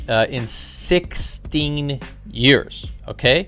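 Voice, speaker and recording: A man is speaking. Music plays in the background. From Canada. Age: 40s. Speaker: forex day trader and streamer. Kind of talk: live trading stream commentary. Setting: live stream. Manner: casual, filler-heavy with repetitions.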